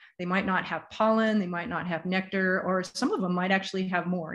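This woman's intonation stays fairly even. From US Pacific Northwest. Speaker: bee gardening presenter. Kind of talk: lecture with slides. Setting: video call with screen share. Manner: casual, conversational. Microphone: video call.

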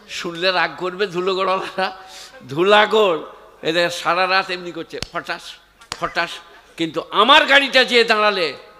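A man's raised, projected voice, high in pitch with ordinary pitch variation. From West Bengal, India. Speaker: Islamic preacher. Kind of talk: sermon. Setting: stage with audience. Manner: animated. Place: stage. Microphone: handheld.

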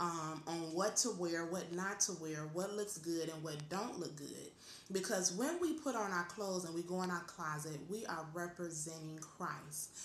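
A woman with a fairly low pitch talks at a moderate pace with fairly even intonation. Audible room echo and light background noise surround her voice. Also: hardly any pauses. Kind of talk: casual faith talk, exhortation. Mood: calm, earnest, encouraging. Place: home room. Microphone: webcam.

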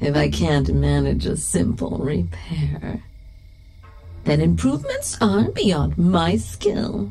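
A woman's menacing, playful tone at a very slow pace, with music in the background. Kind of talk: horror narration, scripted second-person story read with a monster character voice. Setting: studio with sound effects and sound design. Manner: menacing, teasing, sing-song taunts with laughs and drawn-out repeated words; slow, deliberate, playful and sinister.

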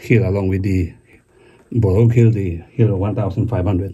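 This man has a dark, mellow tone that is somewhat breathy, with fairly even intonation at a fairly slow pace. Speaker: history explorer vlogger. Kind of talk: casual vlog commentary. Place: forest. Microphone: phone near.

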